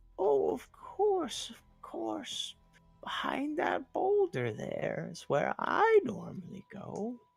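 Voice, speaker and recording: Over faint music in the background, a put-on character voice speaks at a very slow pace. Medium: actual play.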